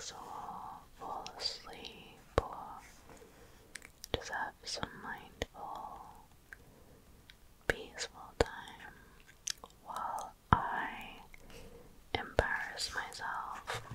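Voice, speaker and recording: A woman whispers at a very slow pace. Her words are broken by long, frequent pauses. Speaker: ASMR creator. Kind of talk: ASMR crossword video, close whispering. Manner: close whispered, soft, slow, hesitant. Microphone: studio mic.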